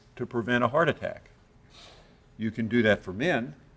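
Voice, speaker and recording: A man with an ordinary speaking voice, medium pitch and a fairly quick pace. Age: 60s. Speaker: cardiology professor. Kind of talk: lecture. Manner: conversational, with frequent uh fillers.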